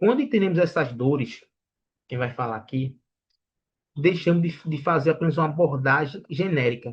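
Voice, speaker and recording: A man is talking at a moderate pace. His intonation is lively. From Brazilian Northeast. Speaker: sales trainer. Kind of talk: lecture. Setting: online livestream.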